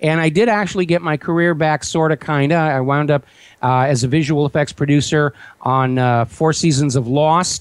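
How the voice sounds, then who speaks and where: In a very clean recording with a silent background, a man with an unremarkable speaking voice talks at a moderate pace and fairly high pitch, his loudness very even and his pitch varying in an ordinary way. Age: 60s. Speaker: talk radio host and website owner, former visual effects producer. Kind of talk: interview.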